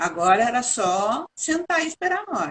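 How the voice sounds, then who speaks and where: Her high-pitched voice swings very widely in pitch, the woman recorded with a dry, close sound and no echo. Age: 70s. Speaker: architect. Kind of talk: interview testimony.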